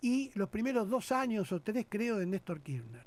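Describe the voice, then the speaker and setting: On a very clean recording with a silent background, a man with an Argentine accent speaks at a moderate pace and high pitch, his pitch swinging very widely. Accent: Rioplatense Argentine Spanish. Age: 60s. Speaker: politician. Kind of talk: radio interview. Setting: radio studio. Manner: animated.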